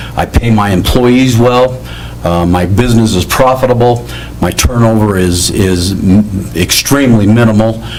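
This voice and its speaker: A man with a fairly low pitch speaks at a moderate pace with ordinary pitch variation, and noticeable background noise is present. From Arizona. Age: 60s. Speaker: school board candidate. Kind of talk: candidate forum statement. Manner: halting, many fillers.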